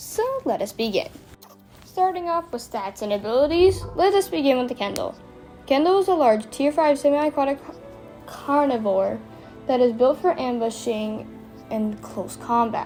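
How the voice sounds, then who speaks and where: A woman at a high pitch with very wide pitch swings, moderate pace, long and frequent pauses, and music in the background. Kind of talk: game comparison voice-over.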